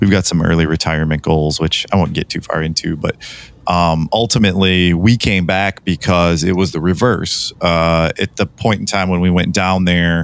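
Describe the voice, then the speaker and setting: A man speaks at a moderate pace with a very deep, low pitch and fairly even intonation. Noticeable background noise runs under the recording. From Michigan (Metro Detroit). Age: 40s. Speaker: podcast co-host. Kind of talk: casual chat. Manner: hesitant, many fillers.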